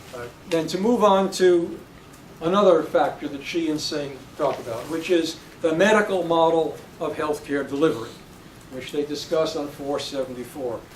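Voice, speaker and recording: A fairly high-pitched man with ordinary pitch variation and big swings in loudness, amid noticeable background noise and audible room echo. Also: moderate pace. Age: 70s. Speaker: professor. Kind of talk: lecture. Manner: halting.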